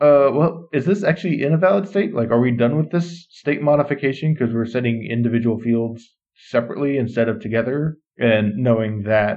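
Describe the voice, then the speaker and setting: In an ordinary speaking voice, a man talks at a fairly quick pace and medium pitch, with lively intonation and very even loudness. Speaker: podcast host. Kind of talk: interview, with read sponsor ads.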